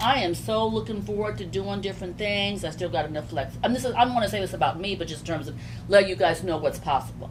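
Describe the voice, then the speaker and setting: A woman talks very fast in an animated tone, with audible room echo and noticeable background noise. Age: 60s. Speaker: business owner. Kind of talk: casual chat.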